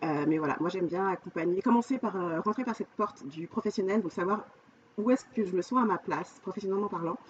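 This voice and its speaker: A woman talks at a very fast pace, with ordinary pitch variation, as noticeable background noise continues. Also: medium pitch for a woman. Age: 40s. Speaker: life coach. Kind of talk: podcast interview.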